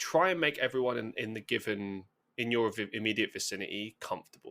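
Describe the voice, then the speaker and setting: A man with a London accent talks at a fairly quick pace in a medium pitch with a bright, sharp tone. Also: ordinary pitch variation. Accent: southern English (London). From London, England. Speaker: podcast guest, musician and content creator. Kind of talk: casual interview chat. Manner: fast.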